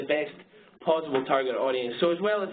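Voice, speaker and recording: A man speaks at a fairly quick pace with a fairly high pitch. His intonation is fairly even, and the room echo is audible. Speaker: marketing agency presenter. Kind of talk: webinar presentation. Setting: webinar. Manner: fast; halting.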